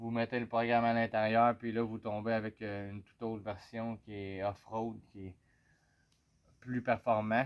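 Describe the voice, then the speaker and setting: In a Quebec accent, a man talks at a medium pitch and a fairly slow pace. His intonation is monotone and flat. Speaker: motorcycle owner vlogger. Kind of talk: casual product review. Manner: hesitant, many fillers.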